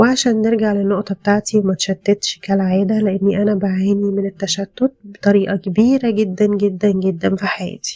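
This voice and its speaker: The woman's tone is dark and mellow, at medium pitch. Her intonation stays monotone and flat. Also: moderate pace, hardly any pauses. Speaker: podcast host. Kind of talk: self-help podcast monologue. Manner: calm, soft-spoken; hesitant, with fillers.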